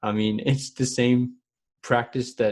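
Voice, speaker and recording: The man's intonation stays fairly even, and the background is quiet. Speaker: podcast co-host. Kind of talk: casual chat. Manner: slow.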